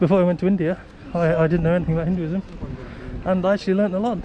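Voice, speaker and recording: Against noticeable background noise, a man with a high pitch talks at a very fast pace. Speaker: travel vlogger. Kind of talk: travel vlog narration. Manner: speaking quietly.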